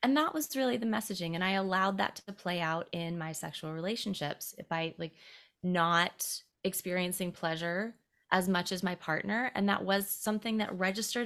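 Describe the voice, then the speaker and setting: Here a woman with an American accent uses a normal speaking voice at a medium pitch and moderate pace, with ordinary pitch variation. The recording is very clean, with a silent background. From US South, South Carolina. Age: 30s. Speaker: intimacy educator. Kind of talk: casual chat.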